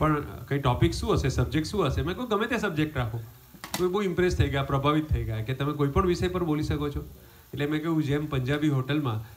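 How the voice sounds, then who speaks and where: A man at a fairly high pitch, with ordinary pitch variation. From India, Surat (Gujarat); Gujarat, India. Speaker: comedian. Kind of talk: stand-up. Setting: home gathering with audience. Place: garden. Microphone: pa.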